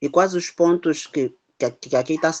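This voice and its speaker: A man speaks with a non-native accent. The background is quiet. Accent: foreign accent noticeable. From abroad, not Brazil. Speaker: parish pastoral worker, participant. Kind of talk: question in online course.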